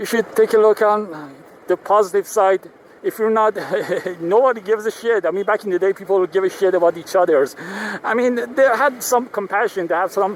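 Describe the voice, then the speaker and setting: A man with a Persian accent talks at a fairly quick pace with a high pitch and ordinary pitch variation. The sound is dry and close with no echo, though there is noticeable background noise. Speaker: vlogger. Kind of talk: casual vlog monologue. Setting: riding a motorcycle in traffic. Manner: halting, many fillers.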